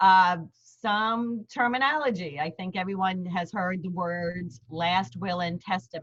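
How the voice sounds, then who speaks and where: A fairly slow delivery in a New York accent, with ordinary pitch variation. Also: woman. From Queens, New York. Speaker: lawyer. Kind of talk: seminar presentation. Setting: video call. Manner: hesitant fillers.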